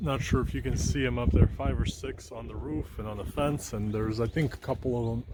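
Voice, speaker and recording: Using vocal fry, a man talks at a moderate pace with lively intonation. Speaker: pigeon keeper, video blogger. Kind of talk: casual vlog. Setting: outdoors. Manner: whispering, quiet.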